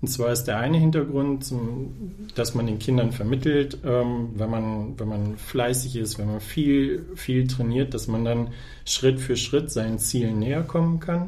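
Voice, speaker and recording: A man with a medium pitch and a dark, mellow, somewhat breathy tone talks at a fairly slow pace with ordinary pitch variation, and room echo is audible. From northern Germany, Osnabrück district. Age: 30s. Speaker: press officer and volunteer basketball organizer. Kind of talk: podcast interview.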